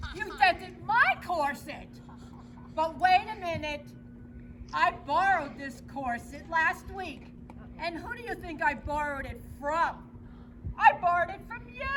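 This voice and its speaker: A woman's put-on character voice, extremely high in pitch, with lively intonation, a moderate pace, long and frequent pauses, and clear background noise. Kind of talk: comic stage acting. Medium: stage play. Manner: chatty, theatrical.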